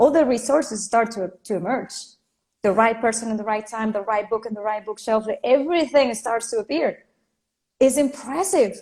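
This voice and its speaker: Her voice sits fairly high in pitch. This woman has a Spanish accent. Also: ordinary pitch variation, moderate pace. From Venezuela. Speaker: life and career coach. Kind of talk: interview.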